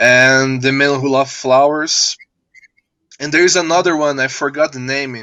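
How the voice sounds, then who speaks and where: A man speaks in a Portuguese accent. His voice is bright, sharp, and fairly high-pitched. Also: fairly even intonation, moderate pace. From Brazil. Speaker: filmmaker. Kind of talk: live video interview. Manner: halting.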